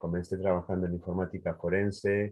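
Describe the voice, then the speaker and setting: A man is speaking. He keeps a moderate pace. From Uruguay. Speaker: cybersecurity engineer. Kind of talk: webinar self-introduction.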